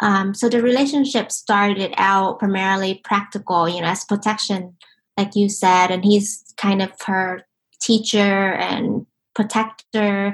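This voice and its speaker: Somewhat breathy, a woman with an American accent talks at a fairly slow pace with fairly even intonation. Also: medium pitch for a woman. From Vietnam (Ho Chi Minh City), then Singapore and US. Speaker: novelist. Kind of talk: interview conversation. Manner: hesitant, many fillers.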